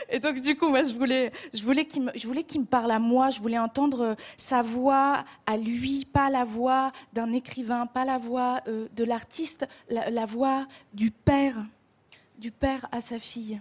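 Speaking at a fairly slow pace, a woman keeps a high pitch and fairly even intonation. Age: 20s. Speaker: actress and writer. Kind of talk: televised interview. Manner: hesitant, repeating words.

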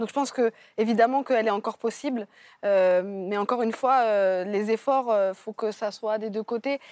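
A woman with a normal speaking voice talks in a fairly high pitch with fairly even intonation. The recording is very clean, with a silent background and a dry, close sound with no echo. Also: moderate pace. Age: 30s. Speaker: novelist. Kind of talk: TV panel discussion. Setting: TV studio.

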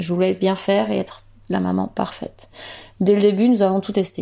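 A woman is speaking. Her pace is moderate. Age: 30s. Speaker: mother giving testimony. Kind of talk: reading aloud.

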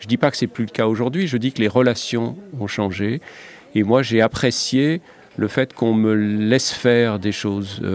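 A man with an unremarkable speaking voice talks at a moderate pace, using medium pitch and ordinary pitch variation. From Lorraine, France. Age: 60s. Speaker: TV foreign correspondent. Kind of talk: interview.

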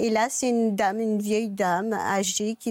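A woman with an ordinary speaking voice talks at medium pitch with fairly even intonation. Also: dry, close sound with no echo. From Mauritius. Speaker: guest sharing her love story. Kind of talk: talk show testimony.

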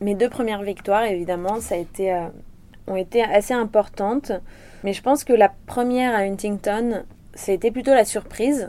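This woman's voice has a dark, mellow tone at medium pitch, with ordinary pitch variation and a moderate pace. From Réunion. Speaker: professional surfer. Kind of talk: interview.

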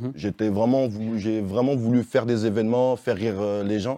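Against a quiet background, a man with a fairly low pitch and a dark, mellow tone is recorded with a dry, close sound and no echo. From Vénissieux, near Lyon, France. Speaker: stand-up comedian. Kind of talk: interview.

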